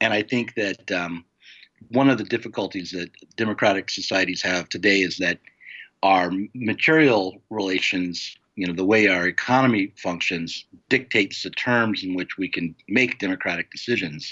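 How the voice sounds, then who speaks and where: Speaking with an American accent in a normal speaking voice, a man keeps a moderate pace, a fairly low pitch and ordinary pitch variation. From United States. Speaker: publisher and novelist. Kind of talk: interview.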